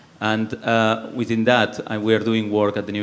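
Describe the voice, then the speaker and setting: A man with a Spanish accent, fairly low-pitched, talking at a fairly quick pace. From Spain, Barcelona (Catalonia). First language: Spanish or Catalan. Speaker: environmental policy researcher. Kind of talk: panel discussion. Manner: halting.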